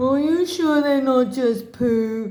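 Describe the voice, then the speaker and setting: This is a put-on character voice that sounds female. The pitch sits high for a woman. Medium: read story. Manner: slow, gullible.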